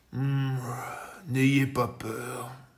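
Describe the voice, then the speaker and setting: A man puts on a character voice at a medium pitch, delivered in a flat monotone. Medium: read story. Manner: calm, gentle.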